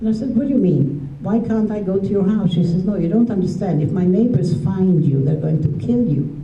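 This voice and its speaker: A woman speaks with lively intonation, very even loudness and hardly any pauses, with audible room echo and noticeable background noise. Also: medium pitch for a woman, fairly quick pace. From Transylvania, Romania (then Hungary). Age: 70s. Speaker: Holocaust survivor. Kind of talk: testimony to school audience.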